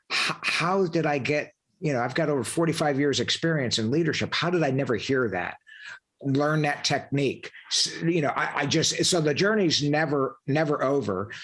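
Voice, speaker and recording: Talking at a moderate pace, a man uses an ordinary speaking voice with a fairly high pitch and ordinary pitch variation. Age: 60s. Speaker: podcast host, leadership coach, former Marine officer. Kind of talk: interview conversation.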